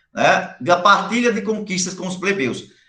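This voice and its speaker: With audible room echo, a man projects a raised voice at a high pitch and ordinary pitch variation. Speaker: high school history teacher. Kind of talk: online lecture.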